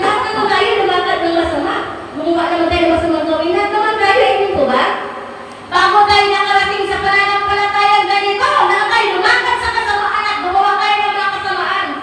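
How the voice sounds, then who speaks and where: At an extremely high pitch, a woman uses a raised, projected voice with fairly even intonation and a fairly quick pace. Noticeable background noise and audible room echo are present. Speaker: pastor. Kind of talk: sermon. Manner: loud, sounds angry though not.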